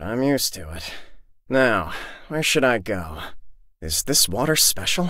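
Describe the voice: Putting on a character voice, a man speaks fairly slowly at a medium pitch, with a bright, sharp tone and big pitch swings.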